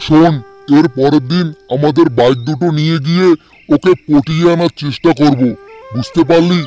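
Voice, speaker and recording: In a cartoonish character voice, a man speaks at a moderate pace with a fairly high pitch. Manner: sly, coaxing, greedy.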